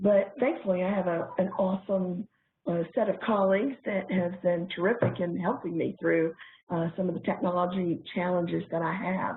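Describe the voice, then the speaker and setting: At a moderate pace, a woman speaks in a medium pitch. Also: fairly even intonation. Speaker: corporate trainer. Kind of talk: webinar presentation.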